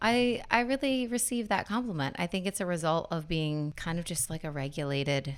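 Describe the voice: A woman speaks at a moderate pace with fairly even intonation. Her pitch is fairly low.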